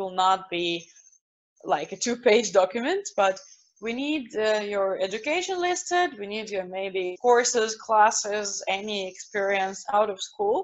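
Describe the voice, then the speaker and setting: A woman with a Russian accent, fairly high in pitch, with lively intonation and a fairly slow pace. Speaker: university representative. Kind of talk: online presentation with Q&A.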